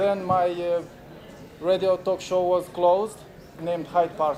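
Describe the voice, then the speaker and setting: This man speaks with a Romanian accent, his pitch high for a man and his pace fairly slow. Noticeable background noise runs under his voice. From Moldova. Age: 40s. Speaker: activist and filmmaker. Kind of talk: conference talk. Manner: halting, many fillers.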